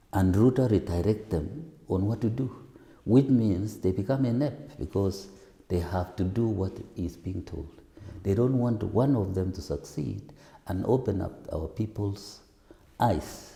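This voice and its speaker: Soft-spoken and somewhat breathy, a man talks at a fairly low pitch. His pace is fairly slow, with lively intonation. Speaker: parliamentary aspirant. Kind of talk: interview answer.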